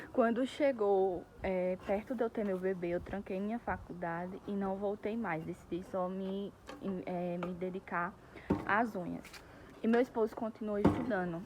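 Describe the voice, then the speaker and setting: With fairly even intonation, a woman at a medium pitch talks fairly slowly. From Brazil, Pernambuco (Northeast). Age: 20s. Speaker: vlogger, nail technician. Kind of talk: casual vlog monologue. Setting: outdoors in a park.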